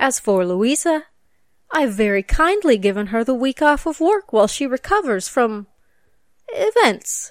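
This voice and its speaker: A woman's high voice with very wide pitch swings at a fairly slow pace, in a dry, close sound with no echo. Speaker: storytelling host in a persona. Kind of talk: dramatic narration. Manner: theatrical, arch, gothic-macabre relish; formal, old-fashioned, mock-genteel.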